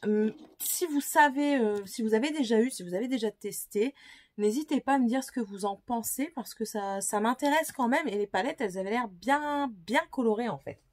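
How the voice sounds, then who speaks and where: A woman with a fairly high pitch and lively intonation, at a fairly slow pace, on a very clean recording with a silent background. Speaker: beauty vlogger. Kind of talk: casual product haul video. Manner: hesitant with many fillers.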